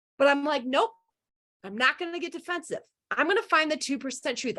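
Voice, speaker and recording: Her voice high, raised, and projected, a woman speaks with a bright, sharp tone and very wide pitch swings. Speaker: leadership coach and conference speaker. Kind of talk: presentation talk. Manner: loud; animated.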